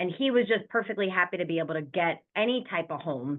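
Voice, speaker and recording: Lively in intonation, a woman with an American accent speaks at a fairly quick pace. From New York. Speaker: real estate investor. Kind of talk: interview. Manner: fast.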